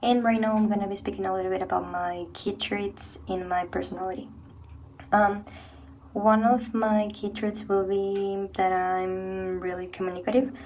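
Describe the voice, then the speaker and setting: Audible room echo surrounds a woman as she talks. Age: 20s. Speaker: university student. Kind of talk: personal reflection.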